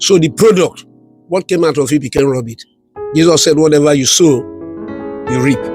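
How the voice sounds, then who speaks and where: A man with a fairly high pitch and ordinary pitch variation, long, frequent pauses, music in the background. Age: 70s. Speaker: elder giving life advice. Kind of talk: interview answer.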